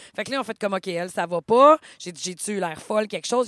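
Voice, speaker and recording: A woman speaks very fast in a Quebec accent, at medium pitch with ordinary variation. The sound is dry and close, with no echo. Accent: Québécois French. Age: 30s. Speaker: podcast co-host. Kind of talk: casual chat.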